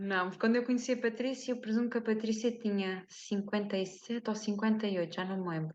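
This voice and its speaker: A woman with a European Portuguese accent talks at a very fast pace with hardly any pauses, her fairly high pitch moving in fairly even intonation. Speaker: podcast host and wellness coach. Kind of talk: interview conversation.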